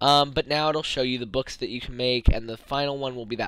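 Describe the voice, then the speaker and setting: A man talks fairly quickly at a medium pitch, his intonation fairly even. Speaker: gaming YouTuber. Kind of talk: gameplay commentary. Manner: fast; hesitant, many fillers.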